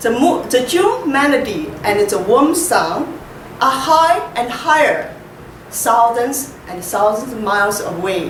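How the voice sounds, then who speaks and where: A woman with a strong Chinese accent talks at a very slow pace and high pitch, with very wide pitch swings. Audible room echo surrounds her voice. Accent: heavy Chinese. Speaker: poet. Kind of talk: poetry reading. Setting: library reading event with audience. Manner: halting, repeats words.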